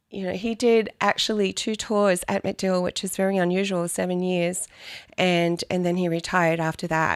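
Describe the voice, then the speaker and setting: In a very clean recording with a silent background, a woman with an Australian accent speaks at a medium pitch with monotone, flat intonation. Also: moderate pace. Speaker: real estate agent. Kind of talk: podcast interview.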